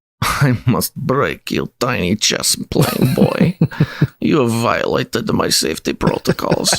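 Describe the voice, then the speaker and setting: A put-on character voice comes in a Russian accent. It moves at a fairly slow pace. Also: man, medium pitch for a man. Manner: menacing.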